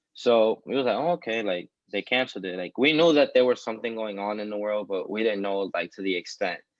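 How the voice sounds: A man talks at a fairly low pitch with ordinary variation. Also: fairly quick pace.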